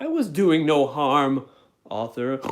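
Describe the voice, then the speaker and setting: Someone performs a put-on character voice in a very clean recording with a silent background. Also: man, fairly high pitch for a man. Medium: game stream.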